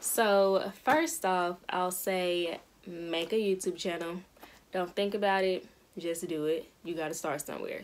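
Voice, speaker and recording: Speaking fairly slowly, a woman keeps a fairly low pitch and fairly even intonation. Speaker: beauty vlogger. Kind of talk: casual vlog chat. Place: home room. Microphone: phone near.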